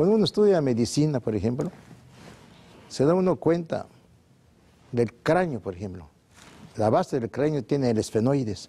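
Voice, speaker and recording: A man's medium-pitched voice, dark and mellow in tone, at a moderate pace with very wide pitch swings and long, frequent pauses. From Mexico. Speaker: naturopathic doctor, sanatorium founder; guest. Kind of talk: TV interview. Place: studio. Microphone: lapel.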